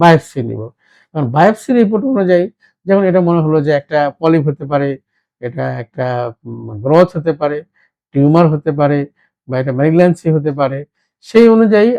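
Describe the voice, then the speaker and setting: A man talks with lively intonation in a fairly high voice of dark, mellow tone. The sound is dry and close with no echo, over a quiet background. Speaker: ENT surgeon. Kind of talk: medical explainer during patient exam. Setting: doctor's chamber. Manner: halting.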